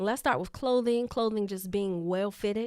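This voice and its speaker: A woman's animated voice at a fairly high pitch and moderate pace, on a very clean recording with a silent background. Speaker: leadership coach and podcast host. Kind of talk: live podcast teaching. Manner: easy to listen to, lowered pitch.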